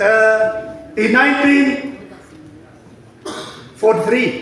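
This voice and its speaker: A man talks in an extremely high voice. The room echo is audible and background noise is noticeable. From Kenya, West Pokot (Kapenguria). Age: 70s. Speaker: community elder testifying. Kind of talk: testimony. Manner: halting.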